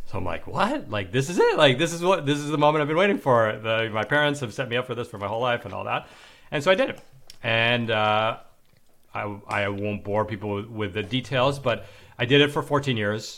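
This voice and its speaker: The speaker talks at a fairly quick pace with an American accent. The recording is very clean, with a silent background. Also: man, medium pitch for a man, lively intonation. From New York City. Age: 40s. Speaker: former finance executive turned blogger. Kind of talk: interview. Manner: hesitant, many fillers and repeats.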